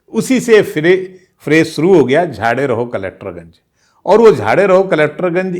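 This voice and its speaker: Vocal fry comes through in a very clean recording with a silent background. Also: man. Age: 60s. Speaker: veteran journalist, channel host. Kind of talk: casual storytelling monologue.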